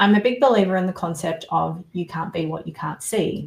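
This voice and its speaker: This woman speaks with an Australian accent. Her pitch sits in the medium range. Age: 40s. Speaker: survivor coach and author. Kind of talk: interview testimony.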